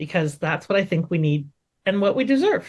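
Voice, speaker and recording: A loud woman's voice with a Canadian accent, medium in pitch, with very wide pitch swings. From Canada. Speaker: entrepreneur coach. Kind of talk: interview. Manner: animated.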